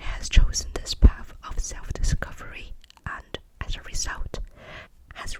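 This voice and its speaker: A woman whispers in a gentle tone. Noticeable background noise can be heard. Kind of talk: ASMR whispered tarot reading, role play. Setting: close-mic studio ASMR. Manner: whispered, soft, gentle.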